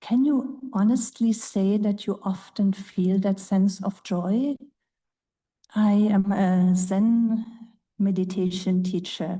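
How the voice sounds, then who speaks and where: Speaking very slowly with a German accent, a woman uses a somewhat breathy, dark and mellow tone with fairly even intonation. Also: medium pitch for a woman, very even loudness. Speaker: Zen meditation teacher. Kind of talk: panel talk.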